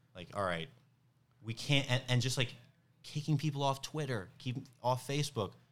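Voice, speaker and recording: With a New York accent, a man speaks at a fairly high pitch with ordinary pitch variation. The recording is very clean, with a silent background. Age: 30s. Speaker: stand-up comedian. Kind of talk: casual chat.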